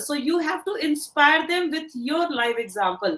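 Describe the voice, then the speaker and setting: A woman with an Indian accent speaks at a high pitch and moderate pace, her intonation lively. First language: Hindi. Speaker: career coach. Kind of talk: motivational talk.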